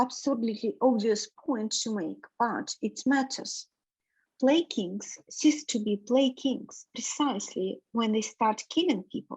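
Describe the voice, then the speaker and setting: A woman with a non-native accent speaks very slowly at a high pitch, with ordinary pitch variation. The background is quiet and the sound is dry and close with no echo. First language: not English. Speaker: reading group participant. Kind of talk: reading aloud.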